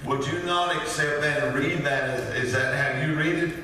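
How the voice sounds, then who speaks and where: Strong room echo and light background noise surround a man speaking. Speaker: preacher. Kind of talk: sermon. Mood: warm, folksy, some laughter. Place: church. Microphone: podium.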